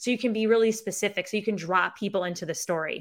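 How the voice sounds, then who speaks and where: Speaking at a very fast pace, a woman with an upstate New York accent uses ordinary pitch variation. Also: very clean recording, silent background. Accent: Syracuse, upstate New York. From Syracuse, New York. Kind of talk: casual interview chat. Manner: casual, candid, swears.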